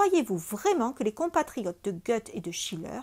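Against a silent background, the recording is very clean. The woman keeps a moderate pace. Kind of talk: literary audiobook reading, first-person narration of a memoir-like novel. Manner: measured, even narrative pace, formal and bookish.

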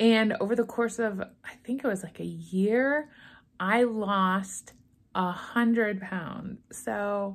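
A woman at a very slow pace with fairly even intonation. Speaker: weight loss vlogger. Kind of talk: casual vlog chat. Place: home room. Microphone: phone near.

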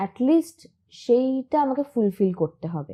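A woman speaks with a high-pitched voice. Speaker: TV actress. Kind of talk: interview.

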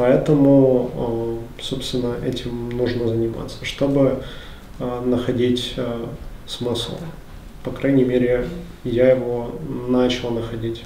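A man speaks very slowly in a flat monotone, with long, frequent pauses. The room echo is audible, and there is light background noise. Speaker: book club participant. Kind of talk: group book discussion. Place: meeting room. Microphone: camera far.

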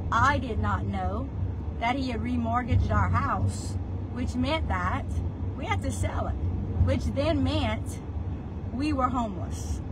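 Against loud background noise, a woman with an American accent speaks at a fairly slow pace. Her pauses are long and frequent. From South Louisiana. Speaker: real estate agent. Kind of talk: life story telling, personal vlog monologue. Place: car. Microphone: phone near.

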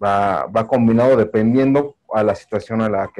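In a Mexico City accent, a man speaks with a monotone, flat intonation. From Mexico City, Iztapalapa. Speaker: audience member. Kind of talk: Q&A comment. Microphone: video call.

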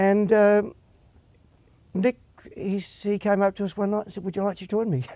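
A man with an Australian accent speaks at a moderate pace in a dark, mellow, high-pitched voice with fairly even intonation and long, frequent pauses, recorded dry with no echo against a quiet background. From Australia, Perth. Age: 60s. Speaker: singer and guitarist. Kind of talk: interview. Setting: studio. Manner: halting. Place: studio.

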